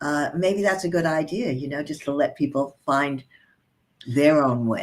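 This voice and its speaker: Speaking at a fairly slow pace, a woman with a very deep, low pitch shows ordinary pitch variation. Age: 70s. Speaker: author. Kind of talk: interview answer.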